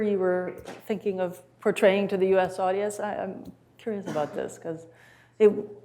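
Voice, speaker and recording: A woman with an American accent speaks at a moderate pace in a medium pitch, her tone dark and mellow. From US Midwest. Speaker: music professor. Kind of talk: interview.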